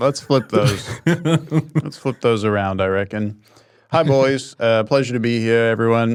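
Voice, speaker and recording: A man with an unremarkable speaking voice, pitched in the medium range. He talks at a fairly slow pace with ordinary pitch variation. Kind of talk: podcast guest segment.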